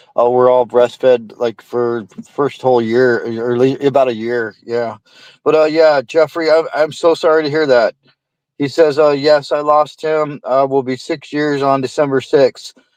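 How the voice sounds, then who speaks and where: Using a plain, everyday voice, a man speaks at a fairly high pitch and a moderate pace with fairly even intonation, in a dry, close sound with no echo. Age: 60s. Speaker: livestream host reading chat. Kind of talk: casual chat.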